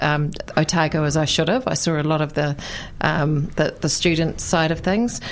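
Noticeable background noise runs under a woman's voice. She speaks at a moderate pace with a fairly low pitch and a New Zealand accent. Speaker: politician. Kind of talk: radio interview.

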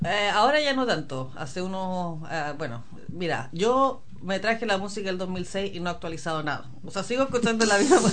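A woman's voice at a fairly quick pace, with very wide pitch swings and audible room echo. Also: medium pitch for a woman. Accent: Chilean. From Chile. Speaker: former community radio host, mother. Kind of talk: casual interview.

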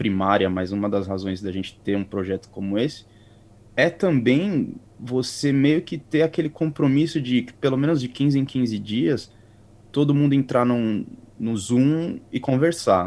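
A plain, everyday voice from a man, medium in pitch, with lively intonation and a fairly slow pace. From Brazil, São Paulo area (Carapicuíba). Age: 30s. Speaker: podcast co-host, interview guest. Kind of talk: interview, casual chat.

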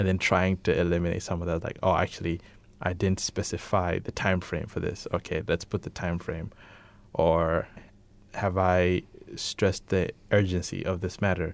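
Over a silent background in a very clean recording, a man speaks in a very deep, low pitch with monotone, flat intonation. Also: moderate pace. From Malawi. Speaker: self-employed professional. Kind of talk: casual chat. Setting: studio.

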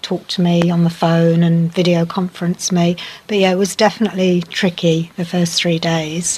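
A woman speaks in a monotone with flat intonation. Her somewhat breathy voice moves at a moderate pace. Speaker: medical professional, interviewee. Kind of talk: casual interview. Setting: outdoors on a deck, recorded earlier.

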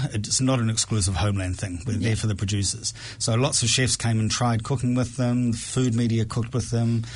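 A man with a New Zealand accent, medium in pitch and somewhat breathy, at a fairly quick pace with fairly even intonation and very even loudness. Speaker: food project co-founder. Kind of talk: casual interview chat. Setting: radio studio.

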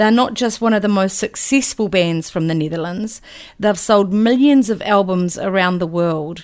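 Speaking in a New Zealand accent is a woman. Her pace is moderate. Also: medium pitch for a woman, ordinary pitch variation. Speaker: radio host. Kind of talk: radio DJ patter, live music show. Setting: radio studio. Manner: relaxed, chatty; conversational, mildly halting with fillers.

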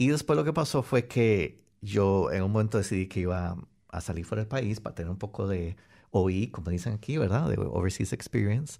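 His tone dark and mellow, a man with a fairly low pitch talks fairly quickly with lively intonation. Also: very clean recording, silent background. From Costa Rica. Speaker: software engineer. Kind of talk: radio interview. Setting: radio studio.

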